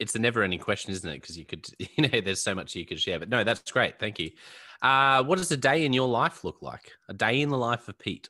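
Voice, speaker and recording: Over a quiet background, a man with an Australian accent talks at a fairly quick pace, medium in pitch, with lively intonation. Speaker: podcast host. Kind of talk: interview.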